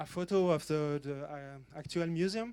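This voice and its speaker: This man has a French accent and a fairly slow pace. His intonation is fairly even, and the recording is very clean with a silent background. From French-speaking Switzerland, Lausanne. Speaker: museum curator and computer collector. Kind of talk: panel talk. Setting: conference stage. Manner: halting, many fillers.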